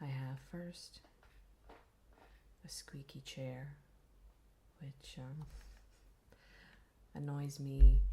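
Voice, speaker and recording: A soft-spoken woman talks at a very slow pace with a very deep, low pitch. Her tone is calm, dark and mellow, and somewhat breathy. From Ireland. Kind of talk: ASMR gaming commentary. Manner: soft-spoken, quiet; slow, calm.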